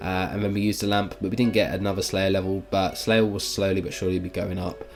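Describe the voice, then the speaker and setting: A man speaks with a British accent at a fairly low pitch. His intonation stays monotone and flat. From Britain. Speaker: gaming YouTuber. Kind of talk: gameplay commentary. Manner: hesitant, many fillers.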